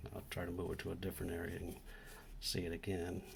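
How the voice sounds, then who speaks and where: A soft-spoken, somewhat breathy man with a very deep, low pitch and a monotone, flat delivery, in audible room echo. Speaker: DIY electronics repair youtuber. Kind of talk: tutorial.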